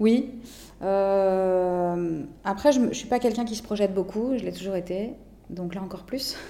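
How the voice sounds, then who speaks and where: Delivered at a fairly slow pace, the speech shows ordinary pitch variation and big swings in loudness, with audible room echo. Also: woman, medium pitch for a woman. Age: 40s. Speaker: cancer survivor. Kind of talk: interview testimony. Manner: hesitant, frequent fillers.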